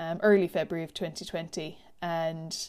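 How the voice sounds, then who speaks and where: A dark, mellow tone in an Irish accent, on a very clean recording with a silent background. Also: woman. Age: 30s. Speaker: podcast host, life coach and teacher. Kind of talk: solo personal podcast monologue.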